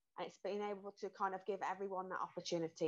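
A woman's very fast, bright, sharp voice in a British accent, with monotone, flat intonation. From England. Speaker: mental health and exercise coach. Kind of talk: casual interview. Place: home room. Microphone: earbuds.

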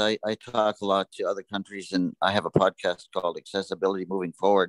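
A man speaks at a fairly quick pace with hardly any pauses. His intonation is monotone and flat, and the sound is dry and close with no echo. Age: 60s. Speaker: assistive technology provider. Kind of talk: webinar presentation.

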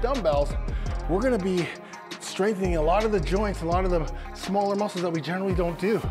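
A man's high-pitched voice at a fairly quick pace, with clear music playing behind him. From Canada. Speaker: fitness coach leading a workout video. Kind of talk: workout tutorial instruction. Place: gym. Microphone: lapel.

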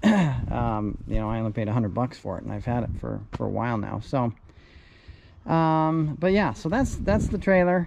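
At a moderate pace, a man talks with vocal fry and a slightly mellow tone.

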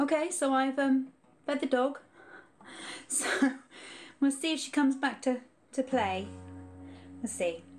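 With music in the background, a woman speaks at a moderate pace and a high pitch, leaving long, frequent pauses. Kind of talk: casual live-stream chat between songs. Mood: relaxed, laughing. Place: home room. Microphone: phone near.

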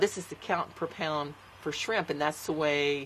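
Light noise sits in the background. The pace is fairly slow. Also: woman. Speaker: interviewee. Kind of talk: interview answer. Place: home room.

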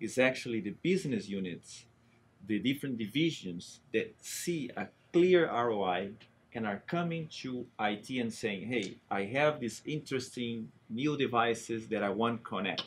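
Against light background noise, a man talks at a fairly slow pace with lively intonation. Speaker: technology architect. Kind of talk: interview. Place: studio.

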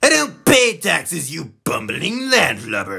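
Putting on a character voice, a man speaks high-pitched at a fairly slow pace. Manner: blustering, indignant.

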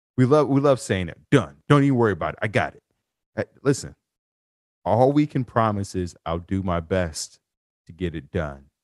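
With a quiet background, a man speaks in an animated tone at a moderate pace, his pitch swinging very widely and his loudness rising and falling sharply, with long pauses coming often. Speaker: podcast host and life coach. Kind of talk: interview.

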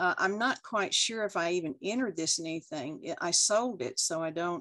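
Against a quiet background, a woman with a Texas accent talks at a moderate pace. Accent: Texas twang. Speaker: art instructor, oil and colored pencil painter; interviewee. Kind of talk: interview answer. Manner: candid, charming. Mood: warm, amused. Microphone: video call.

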